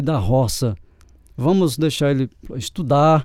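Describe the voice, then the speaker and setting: A man's dark, mellow tone. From Brazil, sertão of Paraíba. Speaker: accordion player and music teacher. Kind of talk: interview.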